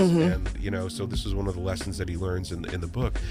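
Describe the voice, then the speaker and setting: Over music in the background, a man with an American accent talks at a fairly quick pace with very wide pitch swings. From New Jersey. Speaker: voice actor and author. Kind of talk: interview answer. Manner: casual, rambling.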